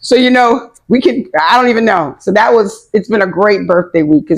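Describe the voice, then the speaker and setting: Loud and animated, a woman speaks at a moderate pace. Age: 50s. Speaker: podcast host. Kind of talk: casual chat.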